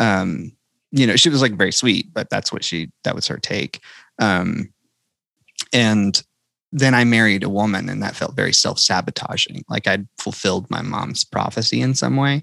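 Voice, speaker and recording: Talking with a Southern US accent, a man uses a medium pitch and a moderate pace, with lively intonation and vocal fry. His tone is bright and sharp, and the sound is dry and close with no echo. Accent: Southern, re-embraced after suppressing it. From North Carolina. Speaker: country singer-songwriter. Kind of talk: podcast interview. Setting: podcast recording.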